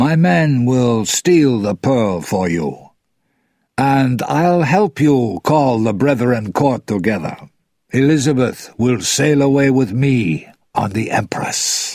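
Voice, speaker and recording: A man puts on a character voice at a medium pitch, speaking at a fairly slow pace. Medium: read story.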